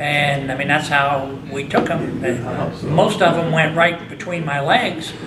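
A man with an American accent at a fairly slow pace, amid loud background noise. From US Midwest (Indiana). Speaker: hall of fame inductee, former baseball player. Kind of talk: interview. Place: meeting room.

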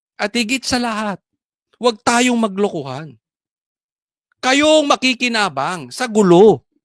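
The background is silent on this very clean recording. Delivery comes at a fairly slow pace. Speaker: political vlogger. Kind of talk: heated political rant. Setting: vlog recording.

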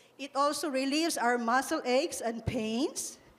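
With a Visayan Filipino accent, a woman speaks at a fairly slow pace in a high pitch. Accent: Filipino (Cebuano) English. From Philippines. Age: 60s. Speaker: product distributor; speaker. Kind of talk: testimony; public testimony to audience. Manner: halting. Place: hall. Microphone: handheld.

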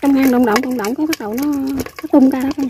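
In a dry, close recording with no echo, a woman talks fast at a high pitch, her dark, mellow tone carrying a husky, rough edge and ordinary pitch variation.

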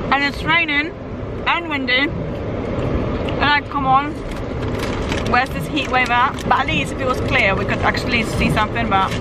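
Amid loud background noise, a woman speaks at a moderate pace with ordinary pitch variation in a dry sound with no echo. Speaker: travel vlogger. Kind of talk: casual vlog chat. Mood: mildly disappointed, chatty. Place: car. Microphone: phone near.

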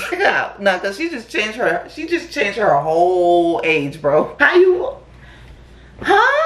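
There is audible room echo around a woman speaking. Her tone is animated and her pace fairly slow. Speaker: YouTube reaction creator. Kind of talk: casual reaction commentary. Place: home room.

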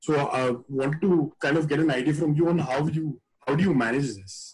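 A man speaks with fairly even intonation and a somewhat breathy quality. The background is quiet. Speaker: webinar moderator. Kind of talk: panel moderation.

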